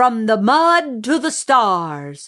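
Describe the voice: A woman's put-on character voice, fairly high and fairly bright, with big pitch swings at a very slow pace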